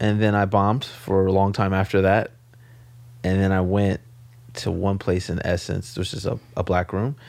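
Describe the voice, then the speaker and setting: A man talks in an American accent at a moderate pace. His voice is fairly low, with ordinary pitch variation. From US West Coast, South Central Los Angeles. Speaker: stand-up comedian. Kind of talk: casual chat. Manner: laid-back.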